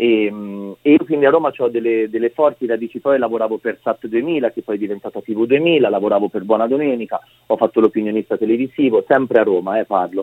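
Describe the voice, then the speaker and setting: A man talks at a very fast pace, his pitch medium with ordinary variation. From Umbria, Italy. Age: 30s. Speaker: photographer. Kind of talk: radio interview. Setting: phone call.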